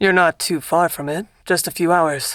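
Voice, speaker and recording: A woman puts on a raspy character voice, fairly low in pitch, at a moderate pace. The recording is very clean, with a silent background. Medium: read story. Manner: easygoing, charming.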